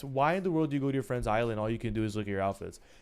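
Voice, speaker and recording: Lively intonation from a male speaker, with music in the background. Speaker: video game streamer. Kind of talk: casual live stream chat. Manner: fast; animated, ranting.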